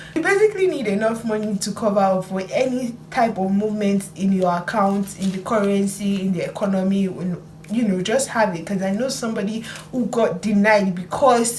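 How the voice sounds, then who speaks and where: Noticeable background noise and audible room echo surround a woman of medium pitch. She speaks at a moderate pace with fairly even intonation. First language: not English. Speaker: student vlogger. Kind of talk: vlog tutorial.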